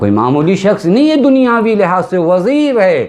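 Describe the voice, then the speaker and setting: A man's pitch swings very widely as noticeable background noise carries on behind him. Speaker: Shia cleric giving a majlis sermon. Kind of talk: religious sermon (majlis) delivered in Urdu.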